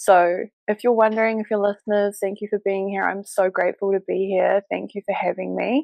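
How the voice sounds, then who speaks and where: In a New Zealand accent, a woman speaks at a medium pitch and a fairly quick pace with monotone, flat intonation. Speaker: business mentor and embodiment coach. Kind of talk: interview podcast. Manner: hesitant with fillers.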